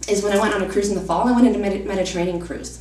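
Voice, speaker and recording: Amid noticeable background noise and audible room echo, a woman at medium pitch talks at a very fast pace with fairly even intonation. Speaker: travel vlogger. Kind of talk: casual talk to camera. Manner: hesitant, many fillers.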